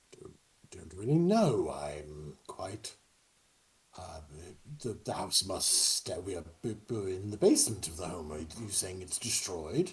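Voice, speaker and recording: Putting on a character voice with a fairly low pitch, a man talks at a fairly slow pace with long, frequent pauses. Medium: actual play. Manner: formal, hesitant, proper.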